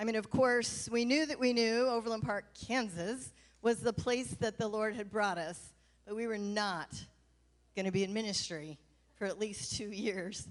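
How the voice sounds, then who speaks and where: A woman's fairly high voice moves at a moderate pace with ordinary pitch variation. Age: 60s. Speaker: pastor. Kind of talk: farewell speech read from notes. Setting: church stage with audience.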